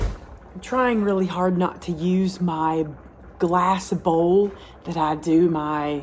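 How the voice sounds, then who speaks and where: A woman speaks in a Southern US accent at a very slow pace. Her pitch is fairly low and her intonation fairly even. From US South, Alabama. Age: 50s. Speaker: home cooking channel host. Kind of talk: cooking tutorial. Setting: home kitchen. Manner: casual, chatty with filler words.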